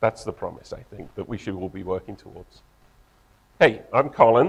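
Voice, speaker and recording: This man speaks with an English accent. His pitch varies in an ordinary way. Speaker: tech company co-founder and engineer. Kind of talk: conference talk.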